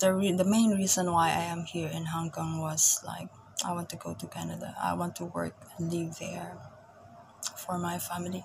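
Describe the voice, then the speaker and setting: A woman with a Filipino accent speaks at a moderate pace. Background noise is noticeable. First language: Tagalog. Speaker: vlogger, caregiver working abroad. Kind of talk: casual vlog monologue. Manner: halting, repeats words.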